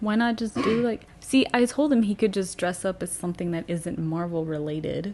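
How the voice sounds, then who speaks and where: A woman with a medium pitch speaks with lively intonation. Her pace is moderate, with hardly any pauses. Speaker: podcast co-host. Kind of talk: casual chat. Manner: loud.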